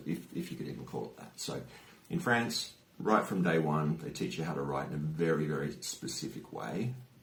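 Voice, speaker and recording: A man with an Australian accent at a moderate pace, with audible room echo. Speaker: youtuber. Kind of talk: personal vlog storytelling. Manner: casual, hesitant with fillers.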